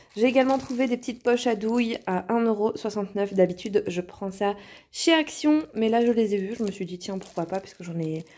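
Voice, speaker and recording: At a moderate pace, a woman speaks at medium pitch with a dark, mellow tone and lively intonation in a very clean recording with a silent background. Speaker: vlogger. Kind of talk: shopping haul vlog. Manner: casual, with frequent hesitations.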